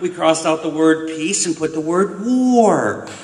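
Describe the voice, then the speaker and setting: At a moderate pace and with ordinary pitch variation, a man talks in a room with audible echo and noticeable background noise. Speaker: peace activist. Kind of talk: conference talk. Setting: conference with audience.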